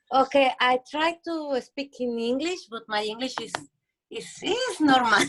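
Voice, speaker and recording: Speaking with a Spanish accent, a woman with a high pitch moves at a fairly slow pace, her intonation lively and her loudness swinging widely. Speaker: children's foundation founder. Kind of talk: casual sharing in group call. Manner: halting.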